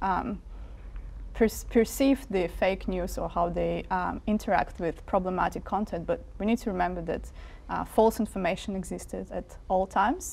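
This woman talks at a moderate pace. She has a Russian accent. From Siberia, Russia. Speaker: media researcher; interviewee. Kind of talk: interview. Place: studio. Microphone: lapel.

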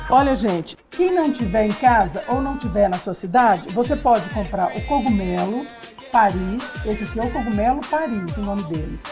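There is clear music in the background. Over it, a woman talks at a moderate pace. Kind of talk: cooking show tutorial. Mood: cheerful, laughing. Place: studio. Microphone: lapel.

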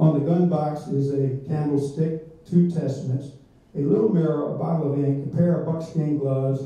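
There is strong room echo around a man speaking at a moderate pace. His pitch is fairly high and his intonation fairly even. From Virginia, US South. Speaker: local historian; speaker. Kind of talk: lecture. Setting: stage with audience. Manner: self-deprecating humor. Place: meeting room.

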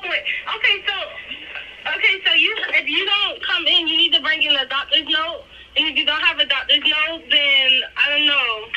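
Over light background noise, a woman talks at a moderate pace in an extremely high pitch. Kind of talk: phone conversation. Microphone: phone line.

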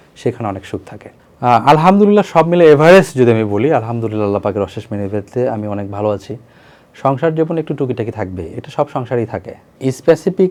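A medium-pitched man speaks with very wide pitch swings and big swings in loudness. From Bangladesh, Bogura. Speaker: interviewee telling his love story. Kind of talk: personal testimony interview.

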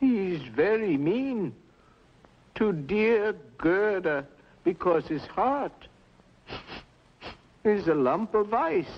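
A man puts on a character voice, high in pitch with big pitch swings. He goes at a very slow pace with long, frequent pauses.

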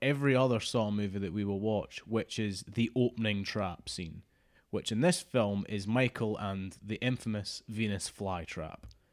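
A man speaks at a fairly slow pace with ordinary pitch variation. The background is quiet. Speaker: podcast co-host. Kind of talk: podcast discussion. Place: home room. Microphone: studio mic.

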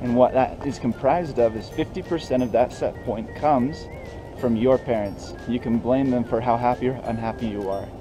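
Music plays in the background as a man speaks. He holds a moderate pace and fairly even intonation. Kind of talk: explanatory vlog commentary. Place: street. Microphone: phone near.

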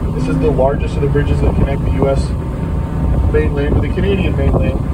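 The words come at a very fast pace, with loud background noise behind them. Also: man. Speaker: tour boat guide. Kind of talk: tour commentary. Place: boat.

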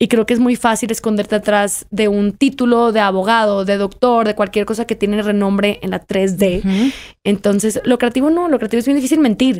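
In a plain, everyday voice, a woman talks at a fairly quick pace with hardly any pauses, using a fairly high pitch and ordinary pitch variation. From Mexico, Monterrey; Nuevo León, Mexico. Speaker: writer; podcast guest. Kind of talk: interview. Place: studio. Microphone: studio mic.

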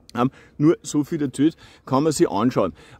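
This man's voice comes through with a dry sound and no echo. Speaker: nature educator. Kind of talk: video tutorial. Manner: halting, with stutters and repetitions; casual, informal. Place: open country. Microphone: phone near.

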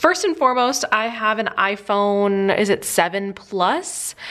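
A woman with lively intonation at a fairly slow pace. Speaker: lifestyle vlogger. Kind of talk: casual tutorial chat.

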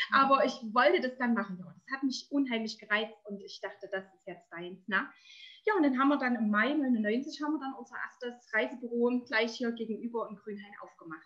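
In a quiet background, a high-pitched woman talks at a fairly quick pace with a bright, sharp tone and big swings in loudness. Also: ordinary pitch variation. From eastern Germany, Erzgebirge (Saxony); Saxony, Germany. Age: 40s. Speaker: entrepreneur, network marketer. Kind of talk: interview. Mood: cheerful, warm. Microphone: webcam.

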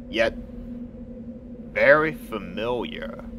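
A man puts on a gruff character voice at an extremely high pitch, with clear background noise behind him. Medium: audio drama. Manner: gruff, irritable.

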